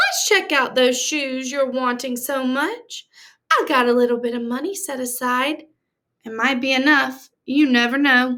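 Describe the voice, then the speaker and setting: A woman performs a put-on character voice. It sits high in pitch. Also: moderate pace. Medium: read story. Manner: plainspoken, kind.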